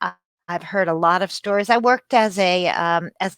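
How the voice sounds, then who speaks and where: A woman's bright, sharp voice with an American accent and ordinary pitch variation, in a very clean, dry, close recording with no echo and a silent background. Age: 60s. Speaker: author. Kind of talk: interview. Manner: halting.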